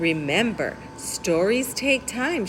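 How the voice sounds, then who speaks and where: Over clear background noise, a woman puts on a character voice, sing-song and fairly high in pitch. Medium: read story. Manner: chirpy, sing-song, kind.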